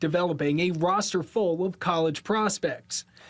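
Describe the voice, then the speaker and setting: Speech at a moderate pace with ordinary pitch variation and music in the background. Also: man. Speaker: sports anchor, reporter and podcast host. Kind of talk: TV sports package narration.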